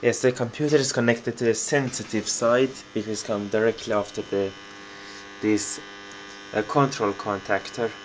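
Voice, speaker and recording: With a non-native accent, a man of medium pitch talks at a moderate pace with fairly even intonation and long, frequent pauses, over noticeable background noise. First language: not English. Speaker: hobbyist video maker. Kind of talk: home tour tutorial. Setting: in his room, filming. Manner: halting.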